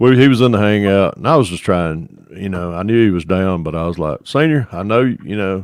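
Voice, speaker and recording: Talking at a fairly quick pace, a man with a Northwest Georgia accent has a fairly low pitch and lively intonation. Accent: Northwestern Georgia. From northwestern Georgia. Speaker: scale model builder. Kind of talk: casual chat.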